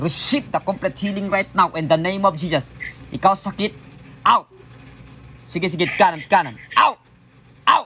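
A man speaks in a raised, projected voice with a bright, sharp tone, high pitch and ordinary pitch variation. His pace is moderate, with long, frequent pauses. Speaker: pastor leading healing prayer. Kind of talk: deliverance prayer. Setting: online video, praying over someone via camera. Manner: loud, forceful commanding shouts; fervent, repetitive, animated.

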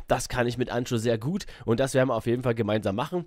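On a very clean recording with a silent background, a man speaks at medium pitch and a very fast pace. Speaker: gaming streamer. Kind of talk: casual announcement to viewers. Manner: casual, filler-heavy.

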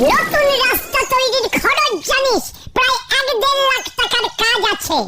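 A squeaky, cartoonish character voice at a fairly slow pace. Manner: anxious, flustered.

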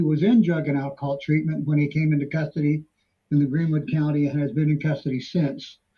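Fairly high pitch from a somewhat breathy man with a dark, mellow tone, moving at a fairly quick pace against a quiet background. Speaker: defense attorney. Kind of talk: court proceedings. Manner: halting. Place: office. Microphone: video call.

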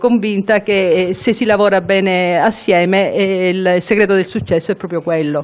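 A woman's medium-pitched voice at a fairly slow pace, with fairly even intonation. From southern Italy, Calabria (Melito di Porto Salvo); Calabria, Italy. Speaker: cardiologist, head of hospital ward. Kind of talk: interview. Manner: halting. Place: office. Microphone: handheld.

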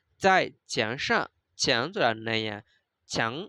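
Someone with a Burmese accent speaks at a very slow pace on a very clean recording with a silent background. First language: Burmese (speaking Chinese). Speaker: Chinese language teacher. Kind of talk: lecture.

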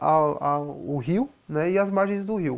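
A soft-spoken man with a high pitch and lively intonation. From Brazil. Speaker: YouTuber. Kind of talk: vlog monologue. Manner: soft-spoken, quiet. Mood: calm, explaining. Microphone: lapel.

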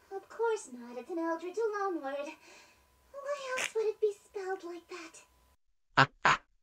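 A man performs a put-on character voice at an extremely high pitch. He goes at a moderate pace, with long, frequent pauses. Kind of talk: aristocratic stage diction. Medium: game stream. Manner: haughty, regal, condescending; coy, flirtatious.

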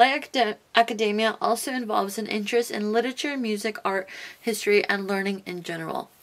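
Here a woman talks at a moderate pace. Her speech is in an American accent. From US West Coast, Los Angeles. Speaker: fashion YouTuber. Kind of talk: casual vlog talk to camera. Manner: casual, many filler words. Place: home room.

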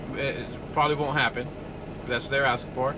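Noticeable noise in the background accompanies a man as he talks. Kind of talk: casual vlog chat. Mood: frustrated but calm explaining. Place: car. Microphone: phone near.

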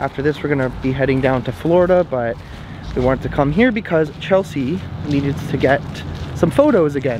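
A man talks at a very fast pace with ordinary pitch variation. The sound is dry with no echo, though background noise is noticeable. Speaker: travel vlogger. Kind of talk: casual vlog chat. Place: open country. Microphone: phone near.

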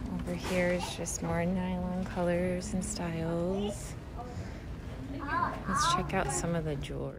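Long, frequent pauses amid loud background noise. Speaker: shopper vlogger. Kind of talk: ASMR shopping walk-through, casual talk to camera. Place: shop. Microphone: phone near.

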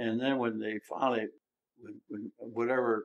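A man with a Mid-Atlantic American accent speaks at a moderate pace in a medium pitch. His intonation is monotone and flat. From Maryland Eastern Shore, Salisbury. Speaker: retired mayor. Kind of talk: interview. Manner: halting.

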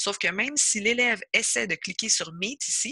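Bright, sharp tone from a woman at a medium pitch with lively intonation. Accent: Quebec. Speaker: educational consultant. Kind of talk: tutorial. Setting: video call.

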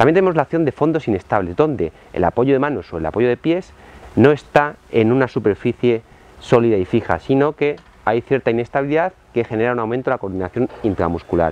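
In a dry sound with no echo, a man talks at a fairly quick pace. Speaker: fitness trainer. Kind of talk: tutorial. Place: garden.

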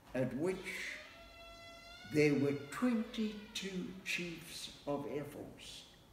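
A man is heard in a room with audible echo and light background noise. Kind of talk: interview answer. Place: home room. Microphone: camera far.

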